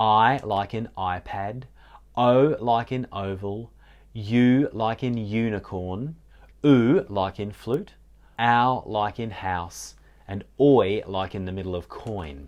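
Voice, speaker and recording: A man with a South Australian accent, fairly low in pitch, at a very slow pace with ordinary pitch variation and a quiet background. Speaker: specialist literacy teacher. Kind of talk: tutorial. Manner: deliberate, articulating sounds carefully.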